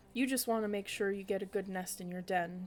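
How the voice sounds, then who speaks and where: A woman uses a put-on character voice at a medium pitch and a fairly quick pace. Background noise is clearly audible. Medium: read story. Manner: stern, measured.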